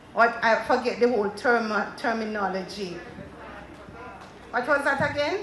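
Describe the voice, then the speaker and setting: Jamaican accent from a woman, fairly high in pitch with ordinary pitch variation, at a fairly slow pace amid audible room echo. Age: 60s. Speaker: panelist at a women's agricultural conference. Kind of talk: panel talk to an audience.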